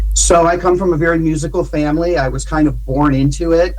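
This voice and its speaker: At a fairly quick pace, a man with an American accent speaks amid noticeable background noise and audible room echo. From Ohio, US Midwest (Cleveland). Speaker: musician and producer. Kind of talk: radio interview. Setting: remote call.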